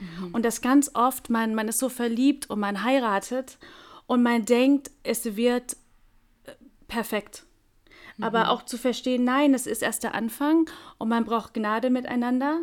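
A woman's high-pitched voice at a fairly slow pace, with long, frequent pauses and fairly even intonation. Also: very clean recording, silent background. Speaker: podcast co-host. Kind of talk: casual chat.

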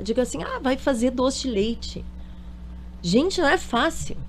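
Long, frequent pauses break up a woman's speech. She talks at a fairly slow pace. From Porto Alegre, southern Brazil. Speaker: dentist and dulce de leche producer. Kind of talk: radio interview. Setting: radio studio.

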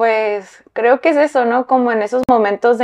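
Speaking fairly slowly in an unremarkable speaking voice, a woman shows ordinary pitch variation. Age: 30s. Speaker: fashion designer. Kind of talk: interview.

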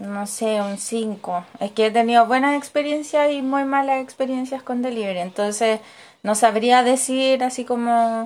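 Speaking with a Chilean accent, a woman has a high pitch and ordinary pitch variation. Her pace is fairly slow. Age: 20s. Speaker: educational psychologist. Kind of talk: interview answers.

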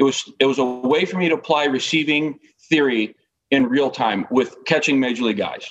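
With an American accent and a normal speaking voice, a man talks at a fairly quick pace in a fairly high pitch with ordinary pitch variation. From Northern California. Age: 50s. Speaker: baseball coach. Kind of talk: casual chat.

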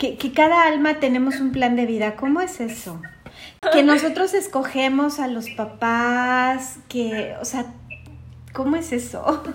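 A woman's high voice at a very slow pace, with ordinary pitch variation and audible room echo. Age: 40s. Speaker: podcast co-host. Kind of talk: podcast interview.

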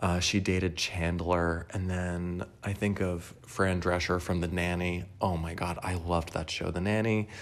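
Monotone, flat intonation at a fairly slow pace. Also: man, very deep, low pitch for a man. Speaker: podcaster. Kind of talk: casual solo monologue, rambling. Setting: recorded at home on couch. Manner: rambling, self-deprecating, laughs often.

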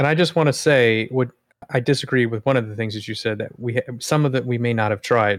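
At a very fast pace, a man speaks at medium pitch with ordinary pitch variation. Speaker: whiskey podcast host. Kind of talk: casual chat.

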